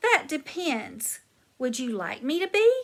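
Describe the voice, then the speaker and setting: A woman's put-on character voice, high in pitch with very wide pitch swings, at a fairly slow pace. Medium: read story. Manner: languid, formal wording.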